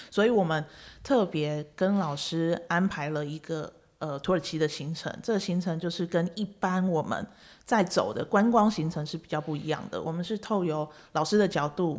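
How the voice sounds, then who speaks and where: A woman with a plain, everyday voice, fairly low pitch and ordinary pitch variation, at a moderate pace. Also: very clean recording, silent background. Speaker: podcast host and travel agency owner. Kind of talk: casual interview. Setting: studio. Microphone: professional microphone.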